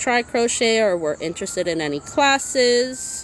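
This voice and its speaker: A woman with lively intonation talks at a moderate pace as noticeable background noise carries on. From Massachusetts, US. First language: Spanish. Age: 30s. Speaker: crochet crafter and small business owner. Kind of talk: casual livestream chat. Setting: livestream.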